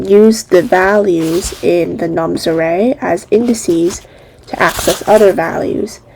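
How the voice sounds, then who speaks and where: Noticeable background noise surrounds a woman speaking at a very slow pace. Her pitch is medium, with ordinary variation. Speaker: coding tutorial creator. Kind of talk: tutorial.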